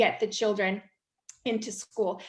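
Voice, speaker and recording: An American accent at a moderate pace against a quiet background. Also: woman. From United States. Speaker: English teacher and course founder. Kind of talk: webinar presentation.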